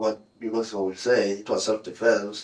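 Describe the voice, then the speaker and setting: A man's voice, fairly low in pitch, stays monotone with flat intonation. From South Africa. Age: 30s. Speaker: murder suspect. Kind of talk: police interrogation confession. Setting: interrogation room. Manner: halting, repeating words.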